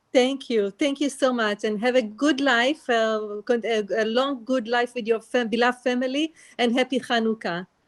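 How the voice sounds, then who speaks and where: Fairly even intonation with an Israeli accent at a moderate pace, in a dry, close sound with no echo and a quiet background. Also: woman, high pitch for a woman. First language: Hebrew. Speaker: audience member asking questions. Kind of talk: Q&A at a presentation. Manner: halting.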